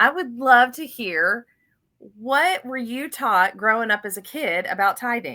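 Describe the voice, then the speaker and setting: Very wide pitch swings mark a woman's fairly high voice with a Southern US accent and a bright, sharp tone. The recording is very clean, with a silent background. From US South, Florida. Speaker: financial podcast host. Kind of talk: casual interview chat. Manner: animated.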